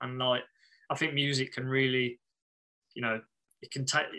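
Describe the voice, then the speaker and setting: A man speaks at a fairly quick pace. His tone is bright and sharp. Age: 30s. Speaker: band bassist. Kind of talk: casual interview chat.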